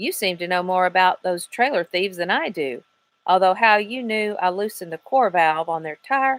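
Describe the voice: A plain read-aloud delivery with lively intonation over a quiet background.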